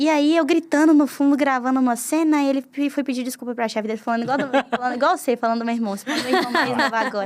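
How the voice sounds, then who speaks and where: A woman talks at a very fast pace in an animated tone. Her high voice shows ordinary pitch variation. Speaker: YouTuber. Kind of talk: casual interview chat.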